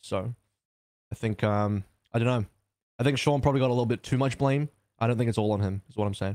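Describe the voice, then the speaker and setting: A man speaks at a very fast pace with a medium pitch and fairly even intonation, broken by long, frequent pauses, in a dry, close sound with no echo. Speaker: esports podcast host. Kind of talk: casual chat podcast.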